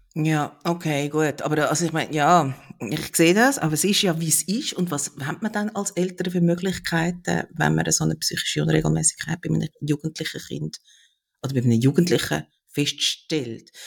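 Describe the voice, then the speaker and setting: Heard in a dry, close sound with no echo, a man talks at a moderate pace. His pitch is fairly high, with ordinary pitch variation. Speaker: podcast host. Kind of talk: interview.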